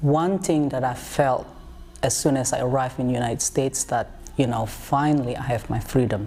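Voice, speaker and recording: There is noticeable background noise behind this man. He speaks with an American accent at a moderate pace and ordinary pitch variation. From outside US, traditional culture. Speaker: interviewee. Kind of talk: testimony.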